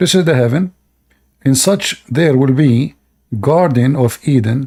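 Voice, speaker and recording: The tone is dark and mellow, with ordinary pitch variation and an Arabic accent, on a very clean recording with a silent background. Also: man. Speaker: participant in a religious debate. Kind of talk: informal spoken English, non-native phrasing.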